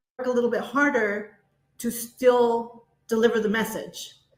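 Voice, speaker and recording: With a Spanish accent, this woman speaks at a fairly high pitch. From US, child of Latin American immigrants. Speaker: education leader. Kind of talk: interview.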